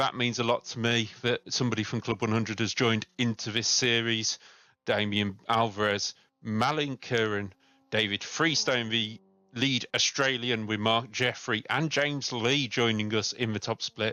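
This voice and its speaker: A man talks at a moderate pace in a normal speaking voice, medium in pitch with fairly even intonation. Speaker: sim racing commentator. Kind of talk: live commentary.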